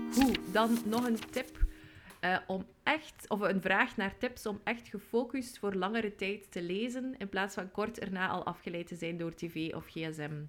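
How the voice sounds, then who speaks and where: Against music in the background, a woman speaks at a fairly slow pace and medium pitch with ordinary pitch variation. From West Flanders, Belgium. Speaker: podcast co-host. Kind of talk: casual chat.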